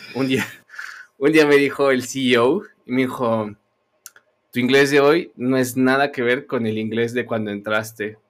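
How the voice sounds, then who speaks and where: Speaking at a fairly slow pace with ordinary pitch variation, a man has an unremarkable speaking voice. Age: 30s. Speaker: podcast host. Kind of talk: casual chat.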